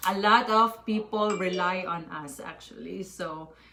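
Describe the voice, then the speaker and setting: A woman's medium-pitched voice, bright and sharp, at a fairly slow pace with fairly even intonation. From Philippines. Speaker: mother and online business owner. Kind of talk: live stream chat.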